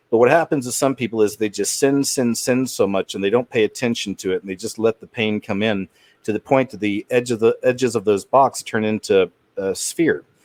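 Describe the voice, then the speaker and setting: At a fairly quick pace, a man talks in an unremarkable speaking voice of medium pitch with ordinary pitch variation, and the sound is dry and close with no echo. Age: 40s. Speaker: channel host talking with callers. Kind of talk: casual call-in chat.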